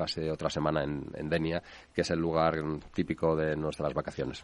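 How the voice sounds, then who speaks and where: A man talks at a moderate pace in a very deep, low voice. His intonation is monotone and flat. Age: 60s. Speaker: real estate developer and company president. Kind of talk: interview. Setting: radio studio. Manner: hesitant, repeats words.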